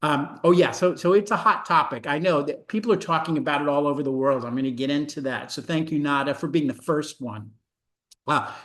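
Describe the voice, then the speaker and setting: A man's fairly high-pitched voice, fairly quick in pace, with ordinary pitch variation. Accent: American. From New York City (Brooklyn). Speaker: medical education professor. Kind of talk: webinar presentation. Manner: fast.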